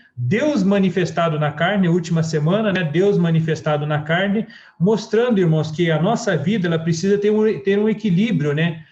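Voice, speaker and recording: With a southern Brazilian accent, a man talks at a high pitch and a moderate pace. His loudness stays very even, and his pitch varies in an ordinary way. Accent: gaúcho Brazilian Portuguese. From southern Brazil (Rio Grande do Sul). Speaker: church preacher. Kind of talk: sermon.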